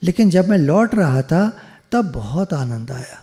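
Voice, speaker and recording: Pitched high for a man, this man's voice has a dark, mellow tone and very wide pitch swings. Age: 70s. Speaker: spiritual teacher. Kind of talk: storytelling talk. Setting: video call.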